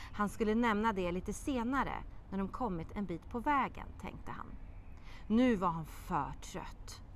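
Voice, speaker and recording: Over light background noise, a woman with a fairly high pitch speaks at a fairly slow pace, her tone animated and dramatic and her intonation lively. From Sweden. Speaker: children's TV presenter and writer; TV presenter. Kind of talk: expressive children's audiobook reading aloud, voicing characters. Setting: outdoor courtyard. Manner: lively storytelling cadence with dramatic pauses; animated character voices in dialogue. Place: garden. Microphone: lapel.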